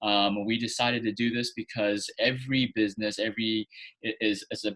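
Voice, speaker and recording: A man with an unremarkable speaking voice talks at a fairly quick pace in a medium pitch, with fairly even intonation and a dry, close sound with no echo. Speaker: acupuncturist, podcast host. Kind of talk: interview host talk.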